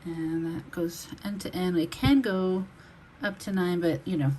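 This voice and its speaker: A woman talks with an American accent and a fairly low pitch. Noticeable background noise sits under her voice. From Texas. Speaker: online reseller. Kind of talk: product showcase video. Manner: casual, with fillers.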